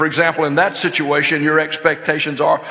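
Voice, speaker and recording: A man with a Southern US accent speaks at a very fast pace, with audible room echo and noticeable background noise. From US South, lower Alabama. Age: 70s. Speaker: marriage conference speaker. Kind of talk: sermon-style seminar talk. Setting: church. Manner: casual, halting with fillers.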